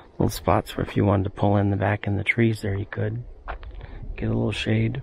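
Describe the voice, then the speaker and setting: Over noticeable background noise, a man speaks quietly at a fairly quick pace. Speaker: travel vlogger. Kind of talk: casual vlog narration. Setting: outdoors.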